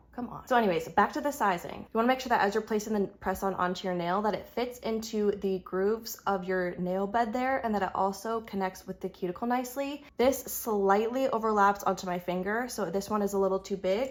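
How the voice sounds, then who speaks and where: A woman speaks at a medium pitch and a fairly quick pace, with hardly any pauses. Her pitch varies in an ordinary way, and noticeable background noise runs underneath. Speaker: beauty vlogger. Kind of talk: tutorial. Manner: rising intonation at ends of phrases; casual, chatty.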